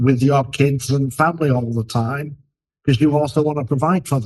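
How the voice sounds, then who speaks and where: Here a man speaks at a fairly high pitch. His voice is somewhat breathy, with fairly even intonation. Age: 60s. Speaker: leadership expert, podcast co-host. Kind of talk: casual discussion.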